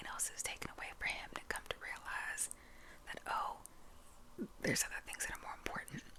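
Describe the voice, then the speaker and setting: The whispering moves at a fairly quick pace over noticeable background noise. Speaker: ASMR creator. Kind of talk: ASMR whispered storytelling. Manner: casual, halting with fillers.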